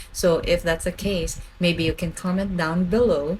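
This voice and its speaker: Over noticeable background noise, a woman speaks at a moderate pace in a medium-pitched voice. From Philippines (Bicol). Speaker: food vlogger. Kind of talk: casual vlog talk to camera. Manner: stutters and repeats words when excited; animated.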